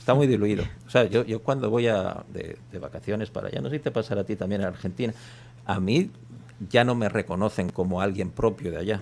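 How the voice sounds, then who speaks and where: Pitch varies an ordinary amount. The talking moves along fairly quickly. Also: man, fairly low pitch for a man. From Spain, Basque Country. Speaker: journalist. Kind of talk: radio interview. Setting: radio studio.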